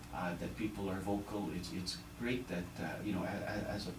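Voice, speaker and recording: Amid noticeable background noise and audible room echo, a man speaks at a fairly quick pace with a fairly low pitch and ordinary pitch variation. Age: 60s. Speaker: politician. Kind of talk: radio interview. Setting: radio studio. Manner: halting, many repeated words.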